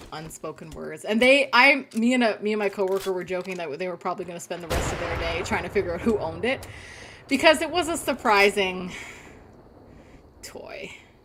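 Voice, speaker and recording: A woman speaks fairly quickly at a medium pitch, her pitch swinging very widely and her loudness rising and falling sharply. Noticeable background noise runs underneath. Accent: Canadian. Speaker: gaming streamer. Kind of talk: live gameplay commentary. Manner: fast.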